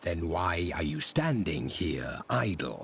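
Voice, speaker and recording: A man puts on a character voice, growling at a very deep, low pitch. He goes at a fairly slow pace. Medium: video game. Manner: terse, resolute.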